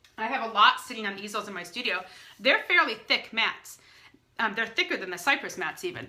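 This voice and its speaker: Noticeable background noise fills the clip. A woman talks at a fairly high pitch. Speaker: portrait photographer. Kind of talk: live stream Q&A. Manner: fast; hesitant, many fillers.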